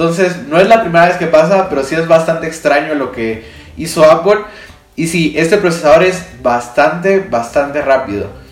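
Noticeable background noise and audible room echo surround a man who speaks at a moderate pace in a fairly high pitch. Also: ordinary pitch variation. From Guatemala. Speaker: tech podcaster and video creator. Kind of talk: casual solo monologue. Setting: home studio on camera.

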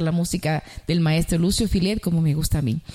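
A woman's fairly low, dark and mellow voice with a Dominican accent, ordinary pitch variation and a fairly quick pace. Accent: Dominican Caribbean Spanish. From Dominican Republic.

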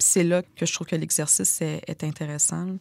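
A woman talks at a fairly quick pace with fairly even intonation. The sound is dry and close with no echo, in a very clean recording with a silent background. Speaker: author. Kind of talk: casual interview conversation. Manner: slight speech difficulty when stressed.

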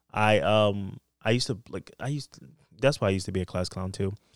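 A man with an American accent, a plain, everyday voice, ordinary pitch variation and a fairly quick pace, in a very clean, dry, close recording with a silent background and no echo. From US East Coast. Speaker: podcast guest. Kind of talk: casual chat.

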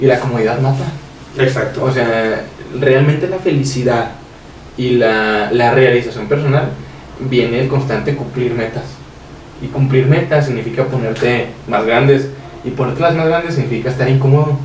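Audible room echo and noticeable background noise fill the space around a man with a medium-pitched voice. He uses fairly even intonation and takes long, frequent pauses. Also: moderate pace. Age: 20s. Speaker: young entrepreneur. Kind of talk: casual chat.

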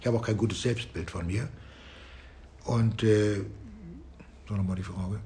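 With vocal fry and a dark, mellow tone, a man speaks at a moderate pace and fairly low pitch, using ordinary pitch variation and long, frequent pauses, in a room with audible echo. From northern Germany, Flensburg. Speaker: music and geography teacher. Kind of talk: interview.

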